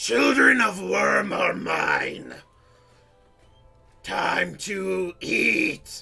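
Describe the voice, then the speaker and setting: Faint music plays behind a man doing a put-on character voice at a very slow pace. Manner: bellowing, menacing.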